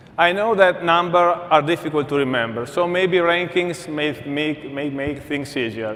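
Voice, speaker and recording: A man with an Italian accent and a fairly high pitch, ordinary pitch variation, a moderate pace and audible room echo. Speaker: energy company executive. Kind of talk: conference keynote.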